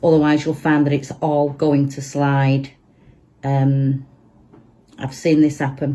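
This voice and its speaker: In a Manchester accent, a woman speaks very slowly with long, frequent pauses, her very deep, low pitch and dark, mellow tone set in monotone, flat intonation. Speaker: resin crafter. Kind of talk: tutorial. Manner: casual, chatty.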